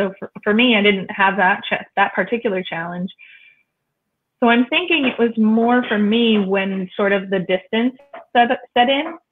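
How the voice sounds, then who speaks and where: An unremarkable speaking voice with an American accent, moderate in pace, with lively intonation. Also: woman. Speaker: webinar guest. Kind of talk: casual chat.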